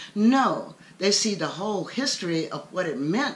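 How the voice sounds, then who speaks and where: Her pitch swings very widely. The woman talks at a fairly slow pace. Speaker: commentator sharing her views. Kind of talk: personal opinion talk to camera. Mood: earnest, indignant. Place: home room. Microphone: webcam.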